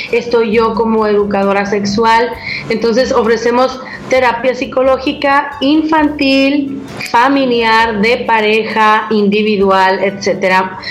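A woman talks at a very slow pace, her pitch fairly high with ordinary variation and her loudness very even. Audible room echo and noticeable background noise are present. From Mexico. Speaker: sex educator. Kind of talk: interview.

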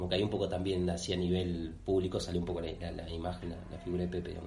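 Speaking at a very fast pace, a man with a very deep, low voice is heard amid noticeable background noise and audible room echo. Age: 30s. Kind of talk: casual interview. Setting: on location in the parish. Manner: halting, many fillers.

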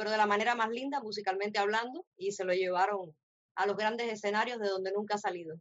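A woman's normal speaking voice, with fairly even intonation. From Cuba, Camagüey. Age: 30s. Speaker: radio co-host. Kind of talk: casual chat.

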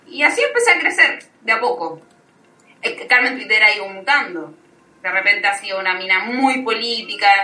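A woman with a Chilean accent speaks fairly quickly in a fairly high voice, her intonation lively. She takes long, frequent pauses, and the room echoes over noticeable background noise. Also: big swings in loudness. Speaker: social media personality. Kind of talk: casual chat.

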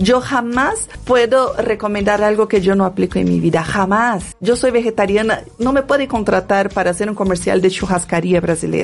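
A woman talks at a medium pitch and moderate pace, with ordinary pitch variation and hardly any pauses. Her loudness stays very even over noticeable background noise. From Brazil, favela. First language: Portuguese (speaking Spanish). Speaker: dancer and women's wellness coach. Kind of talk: interview.

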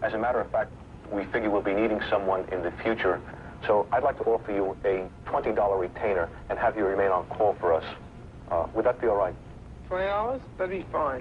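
Amid noticeable background noise, a man with a fairly low pitch talks at a moderate pace with ordinary pitch variation and long, frequent pauses. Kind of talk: archive experiment recording. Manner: halting, hesitant.

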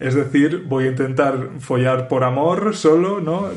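Through noticeable background noise and audible room echo, a man speaks at a very slow pace. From Spain. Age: 30s. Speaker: podcast host. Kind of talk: casual interview chat.

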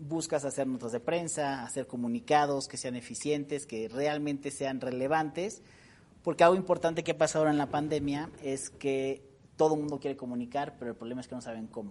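Fairly quick and fairly high in pitch, a man's plain, everyday voice shows ordinary pitch variation and big swings in loudness. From Mexico, San Luis Potosí. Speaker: public relations expert. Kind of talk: interview.

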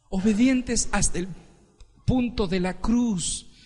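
A man's fairly slow speech with lively intonation and audible room echo. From Ecuador. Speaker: pastor. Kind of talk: sermon.

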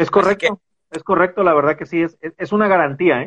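A man speaks at a very fast pace. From Mexico, Veracruz. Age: 40s. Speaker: real estate investment manager. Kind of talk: interview on a live stream.

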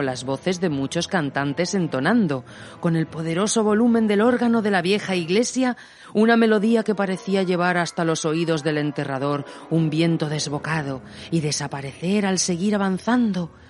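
A woman at fairly low pitch, moderate pace, lively intonation and very even loudness, with noticeable background noise. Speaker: radio host and audio storyteller. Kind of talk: scripted narration of a ghost story, read aloud with a spooky, eerie storytelling tone.

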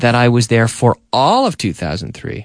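At a very slow pace, a man with an American accent speaks in a dry, close recording with no echo and a quiet background. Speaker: English teacher radio host. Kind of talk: radio English lesson. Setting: studio.

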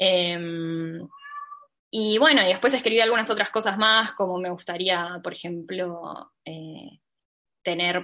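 A woman speaks in a Rioplatense accent at a medium pitch and a fairly slow pace. Her tone is bright and sharp, her intonation fairly even. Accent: Argentine Rioplatense Spanish. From Argentina, Mar del Plata. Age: 20s. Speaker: illustrator and designer. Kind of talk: interview.

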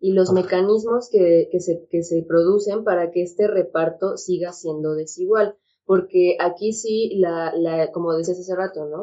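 Fairly slow and with hardly any pauses, a woman speaks in an ordinary speaking voice. Her pitch is medium and her intonation fairly even. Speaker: psychiatrist. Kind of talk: casual chat.

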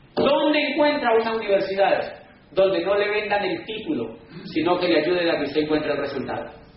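A man's high-pitched voice with very wide pitch swings, audible room echo and noticeable background noise. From Colombia. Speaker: business speaker. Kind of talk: lecture. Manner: animated.

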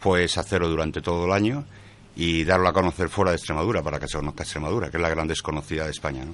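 Racing at a very fast pace, a man talks with ordinary pitch variation. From Santander, Cantabria, Spain. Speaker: cheesemaker. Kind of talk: casual chat.

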